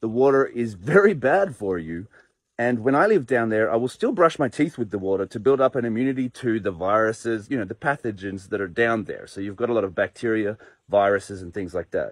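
A man speaks at a fairly quick pace with ordinary pitch variation. The sound is dry, with no echo. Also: quiet background. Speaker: expat commenting on a trend. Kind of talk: casual vlog chat. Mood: dismissive, warning. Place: garden. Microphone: phone near.

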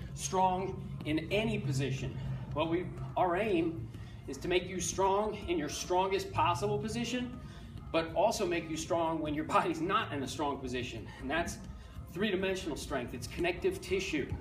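Faint music plays in the background. Over it, a man speaks at a moderate pace. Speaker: fitness coach. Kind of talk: tutorial. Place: gym.

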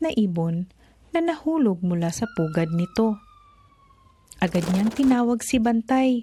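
A woman speaks at a fairly slow pace in a gentle, soothing tone that is dark and mellow. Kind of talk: bedtime story narration. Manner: gentle, soothing, slow storyteller pace.

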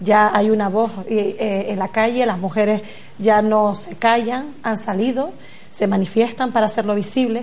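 Here a woman speaks at a fairly slow pace. Her intonation stays fairly even. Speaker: guest. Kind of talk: political debate answer. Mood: earnest, concerned. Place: studio.

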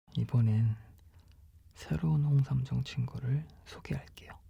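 Calm in tone, a man speaks in a somewhat breathy voice with a dark, mellow tone. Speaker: ASMR product reader for a health-supplement shop channel. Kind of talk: ASMR product description read-aloud. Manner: soft-spoken, calm.

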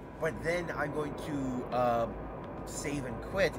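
The text is read out plainly, with pitch that rises and falls in an ordinary way.

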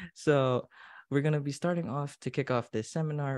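With a Filipino accent, a man talks at a fairly high pitch, his voice dry with no echo over a quiet background. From Philippines. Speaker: event emcee. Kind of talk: event hosting. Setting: online livestream. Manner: animated. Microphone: webcam.

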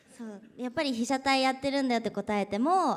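A woman is speaking. Her pace is fairly quick. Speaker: guest. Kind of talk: ceremony speech. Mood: friendly, light, self-deprecating. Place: hall. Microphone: podium.

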